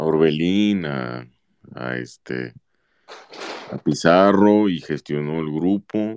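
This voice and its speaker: A man speaks very slowly with long, frequent pauses, his very deep, low pitch carrying lively intonation. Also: dry, close sound with no echo. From Mexico, Autlán de la Grana, Jalisco. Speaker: football fan commentator. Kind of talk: casual chat.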